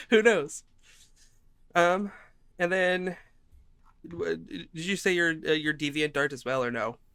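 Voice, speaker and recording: A man speaks at a fairly slow pace with long, frequent pauses and lively intonation. His voice is high-pitched, with a bright, sharp tone. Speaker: podcast co-host. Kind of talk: casual chat.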